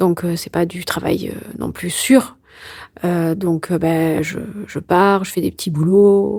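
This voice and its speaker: Speaking at a very slow pace, a woman with a fairly low pitch uses fairly even intonation and a dark, mellow tone. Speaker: endometriosis patient and filmmaker. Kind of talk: interview answer. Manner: joking, casual.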